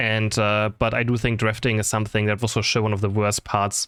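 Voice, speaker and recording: A man mumbles with a non-native accent at medium pitch. The recording is very clean, with a silent background. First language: not English. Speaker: gaming content creator and caster. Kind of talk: casual Q&A chat. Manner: fast; mumbling.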